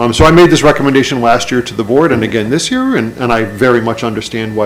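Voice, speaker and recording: A man talks at a medium pitch. Noticeable background noise runs under his voice. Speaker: school superintendent. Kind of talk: budget presentation at public meeting. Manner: fast.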